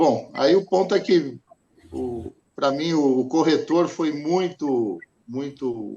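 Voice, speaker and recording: A dark, mellow tone comes from a man whose pitch is fairly high. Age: 60s. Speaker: insurance customer. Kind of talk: interview testimony. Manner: halting, many repetitions.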